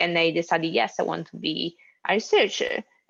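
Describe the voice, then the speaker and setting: A woman speaks with an Italian accent. Her pitch is fairly low. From Italy. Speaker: postdoctoral researcher. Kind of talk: panel discussion.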